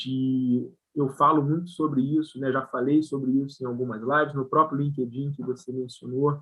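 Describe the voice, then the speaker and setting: A man's fairly high voice with a strong Rio de Janeiro accent. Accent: strong carioca accent with hissing s. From Brazil, Rio de Janeiro. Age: 40s. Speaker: company CEO. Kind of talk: live video interview chat. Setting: live stream.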